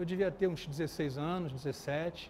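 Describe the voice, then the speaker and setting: A man speaks with a Carioca accent. His pitch variation is ordinary. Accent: Carioca (Rio) accent, kept. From Rio de Janeiro, Brazil. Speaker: architecture photographer. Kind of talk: lecture. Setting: event hall with live audience, no microphone. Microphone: speaking without a microphone.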